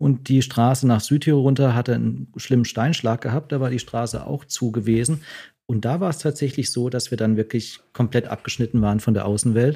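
In a very clean recording with a silent background, a man with a dark, mellow tone and a somewhat breathy, medium-pitched voice keeps his intonation fairly even. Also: fairly quick pace. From southwestern Germany, Freiburg. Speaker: doctor. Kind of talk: casual interview.

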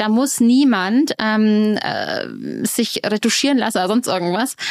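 The woman's voice sits at a fairly high pitch. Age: 40s. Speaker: dating expert. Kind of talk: casual chat.

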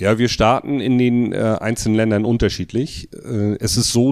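The voice is an unremarkable speaking voice at a fairly slow pace. The recording is very clean, with a silent background. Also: man. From northern Germany, Mecklenburg coast. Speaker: electrical contractor and trade association official. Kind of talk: interview.

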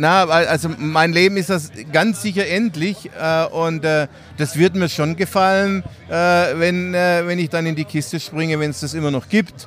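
His pitch varies in an ordinary way. The man's voice is high-pitched. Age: 60s. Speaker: cycling event organizer. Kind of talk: casual interview.

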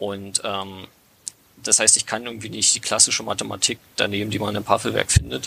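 Noticeable background noise sits behind a man talking at a fairly quick pace. His pitch is fairly low, with ordinary variation. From Brandenburg, Lausitz region. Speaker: hobby app developer. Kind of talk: casual podcast interview. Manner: halting, many fillers.

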